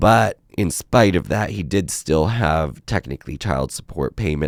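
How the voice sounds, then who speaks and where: With vocal fry and lively intonation, a man speaks in a very deep, low voice on a very clean recording with a silent background. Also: dry, close sound with no echo. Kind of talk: casual talk to camera.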